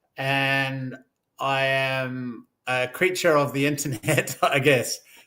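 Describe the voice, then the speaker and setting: A man's bright, sharp tone at medium pitch, very slow, with fairly even intonation. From New Zealand. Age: 60s. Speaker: former lawyer, online community leader. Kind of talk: podcast interview.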